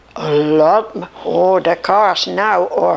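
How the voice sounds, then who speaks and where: A woman talks over noticeable background noise. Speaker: grandmother telling life stories. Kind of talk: interview. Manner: halting.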